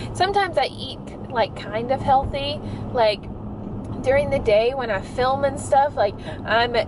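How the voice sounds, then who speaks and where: A woman is speaking, and the sound is dry with no echo. Noticeable background noise runs underneath. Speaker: vlogger. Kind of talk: casual vlog chat. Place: car. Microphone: phone near.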